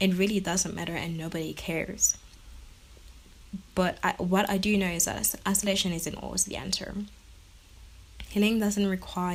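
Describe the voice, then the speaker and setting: The somewhat breathy voice moves at a moderate pace in a monotone, flat delivery. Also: woman. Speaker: podcast host. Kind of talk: personal monologue. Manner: halting; shaky voice.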